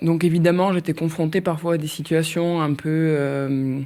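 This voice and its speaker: Speaking in an unremarkable speaking voice, a woman has a fairly low pitch. Her pace is fairly slow and her intonation fairly even. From southern France, Nîmes.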